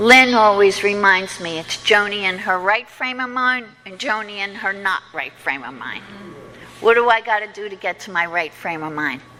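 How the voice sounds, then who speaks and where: Over noticeable background noise, a woman speaks at a moderate pace and medium pitch. Her intonation is lively and her loudness swings widely. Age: 60s. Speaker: recovery meeting speaker. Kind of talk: testimony.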